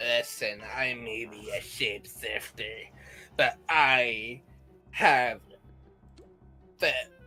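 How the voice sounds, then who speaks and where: Faint music plays behind a put-on character voice at a low-to-middle pitch. Delivery is very slow, with long, frequent pauses. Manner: random silly voice.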